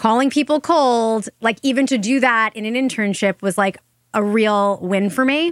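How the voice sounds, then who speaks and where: Talking at a fairly quick pace with lively intonation, a woman has an ordinary speaking voice and an American accent. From Long Island, New York. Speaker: marketing entrepreneur and author. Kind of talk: interview conversation.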